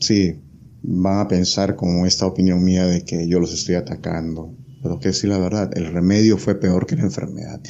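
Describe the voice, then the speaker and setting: A man's very deep, low voice moves along at a moderate pace. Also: ordinary pitch variation. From Peru. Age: 30s. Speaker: software engineer, former meme page admin. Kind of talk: interview.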